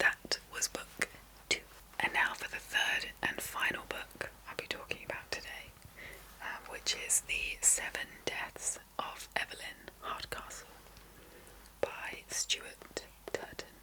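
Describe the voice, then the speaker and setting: Whispering at a very slow pace with long, frequent pauses, a woman speaks over noticeable background noise. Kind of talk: book review talk to camera. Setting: ASMR recording. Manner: whispered, soft-spoken.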